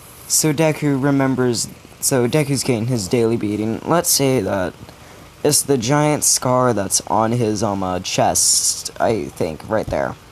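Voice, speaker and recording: With noticeable background noise behind him, a man speaks fairly slowly at medium pitch with ordinary pitch variation. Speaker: storyteller of fan fiction ideas. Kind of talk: casual storytelling monologue. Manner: upbeat, not sad-sounding.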